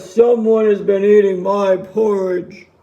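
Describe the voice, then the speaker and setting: A loud, put-on character voice, fairly slow, with monotone, flat intonation. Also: man, high pitch for a man. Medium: read story.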